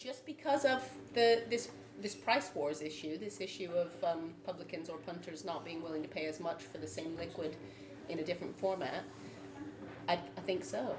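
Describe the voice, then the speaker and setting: A woman speaks at a moderate pace with a fairly low pitch and very wide pitch swings. Noticeable background noise and audible room echo run through the clip. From United States. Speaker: brewer, panel member. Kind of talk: panel debate. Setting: live event with audience.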